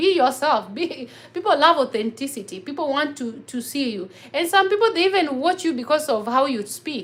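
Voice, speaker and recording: Moderate pace, very wide pitch swings and an animated tone, with noticeable background noise. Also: woman, high pitch for a woman. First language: local African mother tongue. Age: 30s. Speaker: vlogger. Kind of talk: livestream chat.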